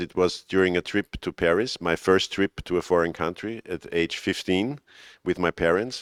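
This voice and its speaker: A man with a very deep, low pitch and fairly even intonation at a moderate pace, in a dry, close sound with no echo on a very clean recording with a silent background. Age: 50s. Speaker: film historian and first-time filmmaker. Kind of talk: interview. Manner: halting.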